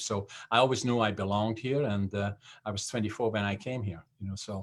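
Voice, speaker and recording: A man with a Dutch accent at a fairly low pitch and fairly quick pace, with fairly even intonation, in a very clean recording with a silent background. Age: 70s. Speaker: business founder and CEO. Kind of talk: interview. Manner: halting, many fillers.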